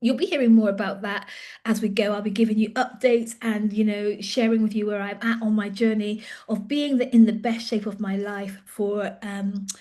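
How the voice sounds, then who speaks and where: Somewhat breathy and dark, mellow in tone, a woman's voice moves at a moderate pace. Her intonation is monotone and flat. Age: 50s. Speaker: leadership coach. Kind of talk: casual vlog update. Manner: hesitant, with fillers.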